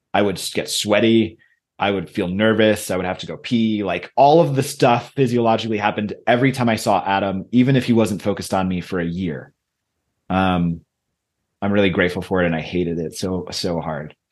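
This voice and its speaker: Here is a man with an ordinary speaking voice and a fairly low pitch. He moves at a fairly quick pace with ordinary pitch variation. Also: quiet background. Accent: American. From Michigan, US. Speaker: leadership coach and author. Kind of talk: interview conversation.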